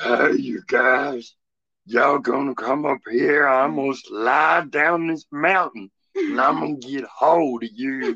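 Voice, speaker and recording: In a raspy, put-on character voice pitched low-to-middle, the speaker moves at a fairly slow pace. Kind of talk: casual, drawling. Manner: dopey, goofy, taunting.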